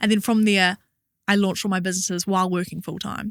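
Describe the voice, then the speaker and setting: A bright, sharp voice in a New Zealand accent, with a dry, close sound, no echo, and a very clean recording over a silent background. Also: woman. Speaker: entrepreneur and actor. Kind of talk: interview.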